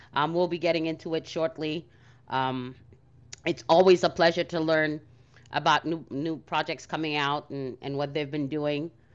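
A woman with a very deep, low pitch at a moderate pace, against a quiet background. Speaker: co-host of NFT audio space. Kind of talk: casual chat. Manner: animated.

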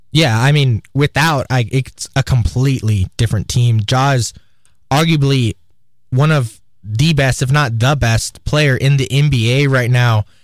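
In an ordinary speaking voice, a man talks at a medium pitch and a fairly slow pace, with ordinary pitch variation, very even loudness, and a dry, close sound with no echo. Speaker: student radio sports host. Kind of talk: casual sports talk. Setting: radio studio.

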